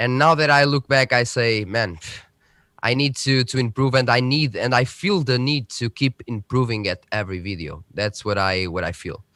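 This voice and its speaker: A man with a Portuguese accent talks at medium pitch and a moderate pace, his tone bright and sharp and his intonation lively, in a very clean recording with a silent background and a dry, close sound with no echo. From central Portugal. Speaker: tech youtuber. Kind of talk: casual chat. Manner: halting.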